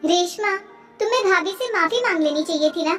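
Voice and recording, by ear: In a cartoonish character voice, a woman speaks at an extremely high pitch and moderate pace with ordinary pitch variation, music in the background.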